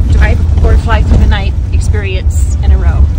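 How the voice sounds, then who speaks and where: A woman talks at a very slow pace with ordinary pitch variation. The sound is dry with no echo, and music plays in the background. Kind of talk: casual vlog chat. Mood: joking, amused. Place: car. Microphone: phone near.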